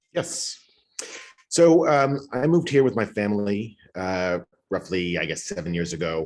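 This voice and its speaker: A man's fairly low voice with very wide pitch swings, an American accent, a moderate pace and long, frequent pauses. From New York. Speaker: school board candidate. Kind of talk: candidate forum.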